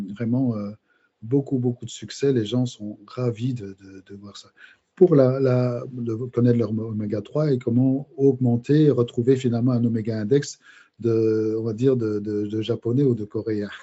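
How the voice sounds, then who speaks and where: A man's medium-pitched voice, fairly slow and fairly even in intonation, with big swings in loudness. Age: 60s. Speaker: biochemist and micronutrition specialist. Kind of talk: podcast interview. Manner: halting, many hesitations.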